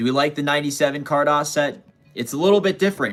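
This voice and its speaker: A man speaks at a very fast pace, his pitch fairly high. Music plays in the background. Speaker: card collector livestreamer. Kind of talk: live stream chat. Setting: live stream. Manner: casual, chatty.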